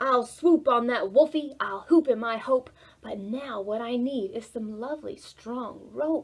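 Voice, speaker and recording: A woman puts on a character voice pitched high. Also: moderate pace. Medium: read story. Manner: eager, boisterous.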